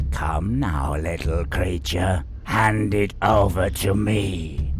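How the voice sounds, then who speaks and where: A man does a put-on character voice at a very deep, low pitch. He speaks very slowly over loud background noise. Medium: game stream. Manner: domineering, contemptuous.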